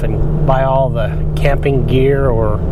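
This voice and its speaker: A man speaks amid noticeable background noise and audible room echo. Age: 60s. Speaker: RV vlogger. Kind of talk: casual monologue while driving. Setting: in a truck. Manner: halting, many repetitions and fillers.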